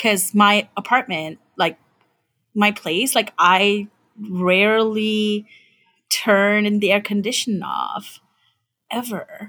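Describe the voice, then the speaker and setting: A woman with a bright, sharp tone talks at medium pitch and a very slow pace, her intonation fairly even. She leaves long, frequent pauses, and the recording is very clean with a silent background. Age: 40s. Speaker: podcast co-host. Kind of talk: casual chat.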